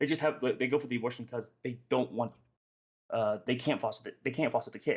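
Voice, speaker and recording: The speaker talks at a very fast pace with fairly even intonation. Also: man, medium pitch for a man. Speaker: podcast host leading discussion. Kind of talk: group debate discussion. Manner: halting, self-correcting.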